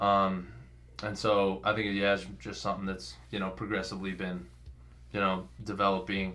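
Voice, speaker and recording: A man with an American accent speaks at a moderate pace in a bright, sharp tone with a very deep, low pitch and ordinary pitch variation. Audible room echo surrounds his voice. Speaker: college football player. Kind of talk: interview.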